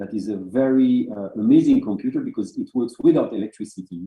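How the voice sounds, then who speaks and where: The speaker has a French accent and keeps a moderate pace. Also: man. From France. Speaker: art curator and moderator. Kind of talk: online talk introduction. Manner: halting.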